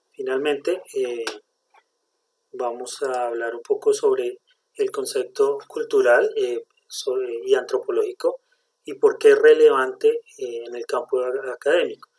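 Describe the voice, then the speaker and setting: A man with a Bogotá accent at a fairly slow pace, big swings in loudness, and a dry, close sound with no echo. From Colombia, Bogotá. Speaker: communications student. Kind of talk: class presentation. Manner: halting, many fillers.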